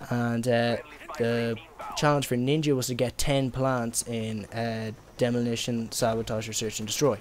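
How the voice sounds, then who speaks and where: Speaking in an Irish accent, a man uses a medium pitch and monotone, flat intonation at a moderate pace, with noticeable background noise. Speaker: gaming YouTuber. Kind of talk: gameplay commentary. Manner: hesitant, many fillers; casual.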